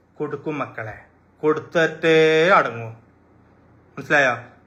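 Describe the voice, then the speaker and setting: This man's voice has a bright, sharp tone and an animated delivery. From Malappuram, Kerala. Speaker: social media live streamer, shop owner. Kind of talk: live stream talk to fans. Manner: animated, repetitive.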